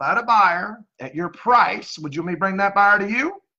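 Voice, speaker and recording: A man speaks in a raised, projected voice at a very fast pace. His pitch is high and his tone bright and sharp. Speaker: real estate agent. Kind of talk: cold sales call. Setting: phone call.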